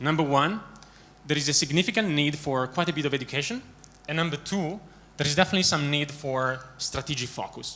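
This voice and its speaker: A man with an Italian accent speaks at a fairly quick pace. His fairly high voice has a bright, sharp tone and ordinary pitch variation. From Italy. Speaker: management consultant. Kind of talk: conference talk. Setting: stage with audience. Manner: many filler words.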